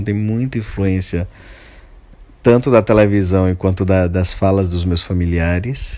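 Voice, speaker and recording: A man with a normal speaking voice, ordinary pitch variation, and a moderate pace. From Brazil, Bahia (Alagoinhas). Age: 30s. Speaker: playwright and theatre director. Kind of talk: interview.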